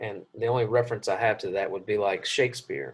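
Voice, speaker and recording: Somewhat breathy, a man speaks with a Southern US accent. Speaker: Bible class teacher. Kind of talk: lecture. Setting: classroom.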